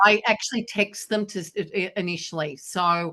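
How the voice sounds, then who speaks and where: Against a quiet background, a voice with an Australian accent keeps fairly even intonation. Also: woman. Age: 60s. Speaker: business speaker. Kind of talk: Q&A talk.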